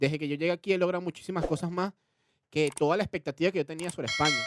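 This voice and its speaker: In a dry, close sound with no echo, a man with a high pitch talks at a very fast pace with ordinary pitch variation. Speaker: podcast co-host. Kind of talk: casual chat.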